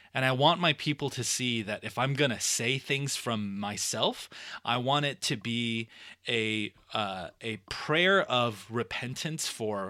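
Lively intonation and a bright, sharp tone come through in a Californian accent. The recording is very clean, with a silent background. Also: man. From Los Angeles, Southern California. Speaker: pastor. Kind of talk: casual chat.

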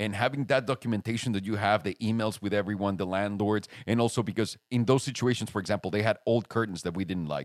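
In an animated, passionate tone with a Spanish accent, the speaker races along at a very fast pace with hardly any pauses, the sound dry and close with no echo in a very clean recording with a silent background. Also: man, fairly low pitch for a man, ordinary pitch variation. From Mexico City. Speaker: podcast host, YouTuber. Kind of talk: casual chat. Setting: makeshift home studio.

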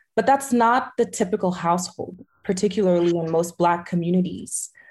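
A woman with an American accent sounds somewhat breathy over a quiet background. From Haitian American family, US. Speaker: entrepreneur and ecosystem strategist. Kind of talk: interview.

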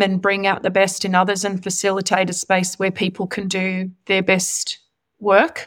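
On a very clean recording with a silent background, a woman with an Australian accent speaks at a medium pitch. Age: 40s. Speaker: senior executive. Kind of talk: interview.

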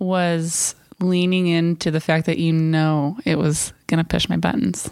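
The intonation stays fairly even. It is an ordinary speaking voice at a fairly slow pace. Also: woman. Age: 30s. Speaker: podcast co-host. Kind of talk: casual chat. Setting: home living room.

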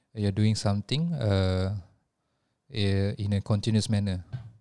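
A man with a Malaysian accent speaks at a moderate pace in a dark, mellow tone with a fairly low pitch. His intonation is fairly even, in a very clean recording with a silent background. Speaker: podcast co-host and religious teacher. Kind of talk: casual chat. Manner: halting.

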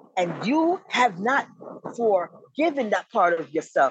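The voice moves through very wide pitch swings in a dry, close sound with no echo. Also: woman. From Jamaica, Kingston. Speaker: author. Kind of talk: interview.

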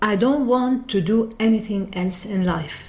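Her pitch fairly high, a woman with an Arabic accent speaks with lively intonation. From Lebanon. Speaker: singer and music teacher. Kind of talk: interview.

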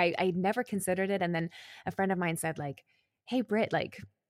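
A woman has an unremarkable speaking voice, fairly low in pitch with ordinary pitch variation. The very clean recording has a silent background and a dry, close sound with no echo. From Calgary, Canada. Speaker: podcast co-host and brand lead. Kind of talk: casual interview chat.

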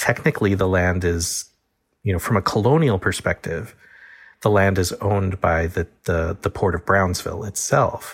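A somewhat breathy voice with an American accent holds its loudness very even throughout. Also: man, fairly low pitch for a man, ordinary pitch variation, moderate pace. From Texas Gulf Coast. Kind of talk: interview.

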